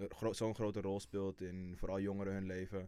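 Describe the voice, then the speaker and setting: A man speaks in a flat monotone. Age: 20s. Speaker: intern. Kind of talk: interview.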